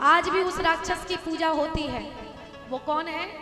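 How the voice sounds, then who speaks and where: A woman talks with music in the background. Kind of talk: live devotional katha discourse (Bhagwat katha).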